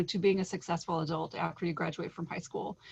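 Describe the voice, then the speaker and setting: Against a quiet background, a woman with a fairly low pitch speaks in a somewhat breathy voice with fairly even intonation. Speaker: state higher education official. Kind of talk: presentation. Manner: fast.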